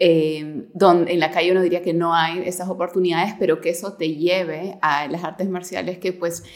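The voice belongs to a woman and has a fairly low pitch. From Peru. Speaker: podcast host. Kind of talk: interview.

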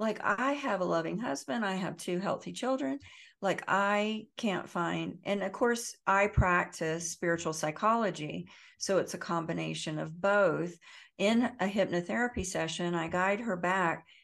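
At a fairly slow pace, a woman with an ordinary speaking voice talks at medium pitch with ordinary pitch variation against a quiet background. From US South. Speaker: trauma healing educator and author. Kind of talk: interview.

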